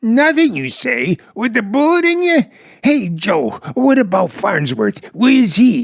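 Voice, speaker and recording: A man uses a put-on character voice at an extremely high pitch. He goes at a fairly slow pace. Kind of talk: 1940s radio comedy acting. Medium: audio drama. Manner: excitable, stammering, nervous.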